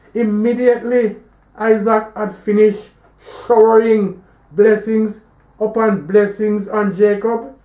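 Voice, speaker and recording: Long pauses come often in this fairly slow speech. Noticeable noise sits in the background. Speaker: religious teaching reader. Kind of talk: sermon-style religious reading.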